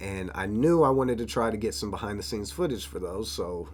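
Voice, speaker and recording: In a room with audible echo, a man talks at a fairly low pitch. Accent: American. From Florida. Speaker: rapper and videographer. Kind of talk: vlog narration. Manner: casual.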